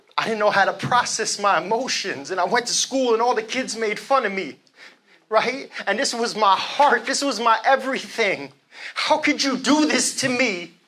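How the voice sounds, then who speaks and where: A man speaks in a raised, projected voice at an extremely high pitch, keeping a moderate pace and ordinary pitch variation. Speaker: motivational speaker. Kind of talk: live motivational speech. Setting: live event. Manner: energetic.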